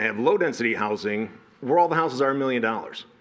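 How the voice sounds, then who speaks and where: Over noticeable background noise, a man speaks at a very fast pace. His medium-pitched voice has ordinary pitch variation. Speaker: resident speaking at public comment. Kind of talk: public comment at city meeting. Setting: city planning commission meeting.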